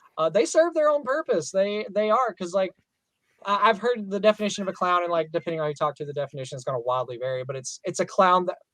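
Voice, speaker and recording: With a Southern US accent, a man talks at a very fast pace in a high voice with very wide pitch swings. The sound is dry and close, with no echo. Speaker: professional clown and entertainer. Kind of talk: casual podcast interview.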